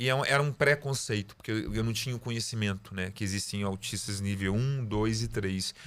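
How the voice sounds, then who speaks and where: A man talks with hardly any pauses and ordinary pitch variation. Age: 40s. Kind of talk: interview. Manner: halting, repeats words.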